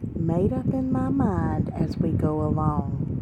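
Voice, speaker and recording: With noticeable background noise behind her, a soft-spoken woman with a very deep, low pitch makes very wide pitch swings. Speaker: ASMR storyteller. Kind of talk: casual talk to camera.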